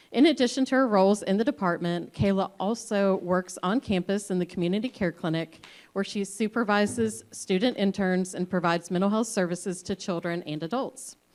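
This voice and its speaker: On a very clean recording with a silent background, a woman of medium pitch talks at a fairly quick pace with hardly any pauses and ordinary pitch variation. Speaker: psychologist and panel moderator. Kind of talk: panel introduction. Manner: loud, projecting.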